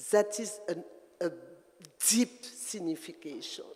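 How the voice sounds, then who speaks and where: A French Caribbean accent with noticeable background noise. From Guadeloupe. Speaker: dancer. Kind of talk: talk at performance event. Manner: halting.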